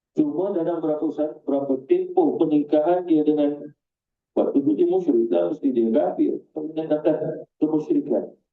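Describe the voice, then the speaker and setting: A man with a Malaysian accent talks at a moderate pace. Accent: Malaysian Malay. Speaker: Islamic religious teacher. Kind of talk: Quran exegesis lecture.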